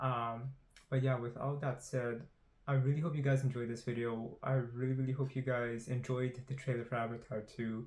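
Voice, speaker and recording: A man's mumbling, somewhat breathy voice at a medium pitch, with monotone, flat intonation. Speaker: YouTuber doing movie trailer analysis. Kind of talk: trailer analysis monologue. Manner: mumbling, stumbling on words; fast, rushed.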